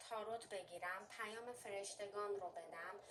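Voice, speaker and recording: A woman's medium-pitched voice with a slight Armenian accent, fairly even intonation and a fairly slow pace. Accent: slight Armenian accent in Persian. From Armenian heritage. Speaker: fortune teller. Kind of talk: tarot and coffee reading.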